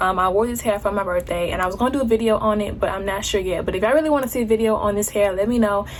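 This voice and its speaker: Speaking at a very fast pace, a woman uses a fairly high pitch with ordinary pitch variation. Noticeable background noise and audible room echo are present. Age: 20s. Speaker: beauty vlogger. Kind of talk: casual vlog talk; makeup tutorial. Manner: casual.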